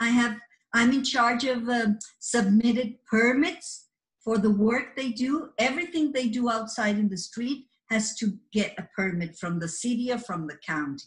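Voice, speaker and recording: Lively intonation and a moderate pace, with a Spanish accent. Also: woman, fairly high pitch for a woman. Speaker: office assistant. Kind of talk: career talk to camera. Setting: office. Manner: halting, with repeated words and fillers.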